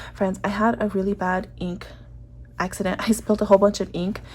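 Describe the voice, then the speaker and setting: A woman talks at a fairly quick pace in a dark, mellow tone. Her medium-pitched voice is monotone and flat. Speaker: planner and stationery vlogger. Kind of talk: casual chat. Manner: fast; hesitant, many fillers.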